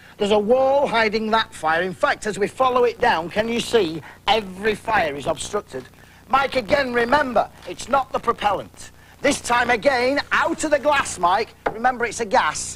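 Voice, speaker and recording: A man speaks in an extremely high pitch at a moderate pace. His tone is excited. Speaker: product demonstrator. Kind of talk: infomercial product demonstration. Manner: excited, insistent.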